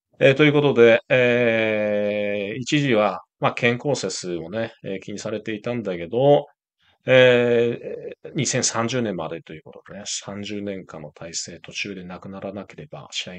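Lively intonation and big swings in loudness come from a man with a medium-pitched voice speaking at a fairly slow pace. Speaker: international and travel journalist, video host. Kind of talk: news commentary; reading a news article aloud. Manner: frequent filler words, hesitant.

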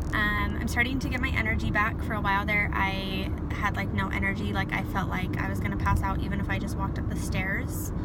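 A woman at a fairly quick pace with hardly any pauses, over loud background noise. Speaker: vlogger. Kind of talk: casual vlog chat. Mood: upbeat, relaxed. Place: car. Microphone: phone near.

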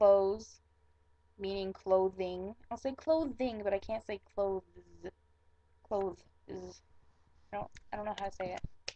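An American-accented woman speaks very slowly in a dark, mellow tone, with long, frequent pauses. Her pitch varies in an ordinary way while her loudness swings widely. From Michigan. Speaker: vlogger. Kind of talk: casual talk to camera. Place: home room. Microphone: webcam.

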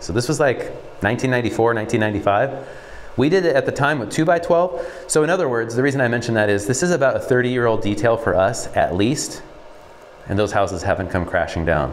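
The voice moves at a very fast pace with very wide pitch swings. Light background noise can be heard. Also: man. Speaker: building contractor. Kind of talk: walkthrough explanation. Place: empty room.

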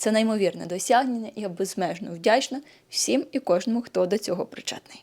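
A woman with an unremarkable speaking voice talks at a moderate pace, her medium pitch carried by lively intonation. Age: 30s. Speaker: nutrition blogger and yoga channel host. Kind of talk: vlog monologue to camera.

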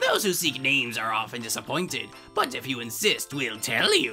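Faint music plays behind a man doing a put-on character voice. His tone is bright and sharp, and his pitch swings very widely. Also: medium pitch for a man, moderate pace.

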